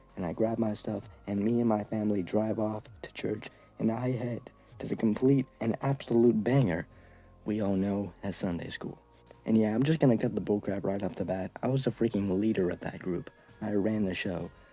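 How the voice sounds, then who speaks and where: With music in the background, a man talks at a moderate pace with a fairly low pitch. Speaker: YouTuber. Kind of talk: storytelling vlog. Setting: hotel room. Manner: quieter than usual; animated.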